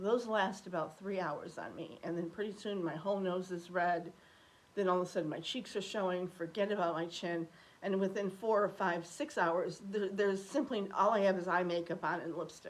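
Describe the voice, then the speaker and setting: A woman with a plain, everyday voice talks at a moderate pace in a medium pitch, with ordinary pitch variation. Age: 60s. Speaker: beauty vlogger. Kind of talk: casual chat.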